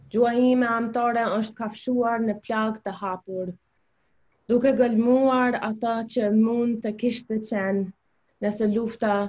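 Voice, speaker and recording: The voice is somewhat breathy and monotone with flat intonation, moving at a fairly slow pace. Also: woman. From US South. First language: Albanian. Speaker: hairstylist and poet; poet. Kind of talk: panel discussion with poem reading. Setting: video call. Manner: hesitant, many fillers. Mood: earnest, reflective. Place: home room. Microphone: video call.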